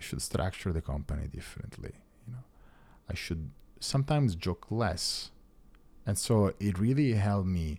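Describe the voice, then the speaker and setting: A man with an Italian accent, lively intonation and a dark, mellow tone. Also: very clean recording, silent background. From Italy, Rome. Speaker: tech founder. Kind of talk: casual chat.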